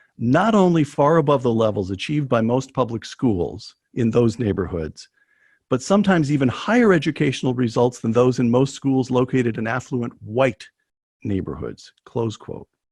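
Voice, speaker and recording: The man's somewhat breathy voice sits at a medium pitch with lively intonation. He keeps a moderate pace against a quiet background. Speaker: interviewer. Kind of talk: interview question.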